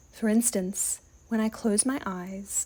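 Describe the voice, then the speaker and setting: Soft-spoken and at a fairly slow pace, a woman of medium pitch has a dark, mellow tone and ordinary pitch variation. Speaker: toy collector. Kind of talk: soft-spoken ASMR storytelling.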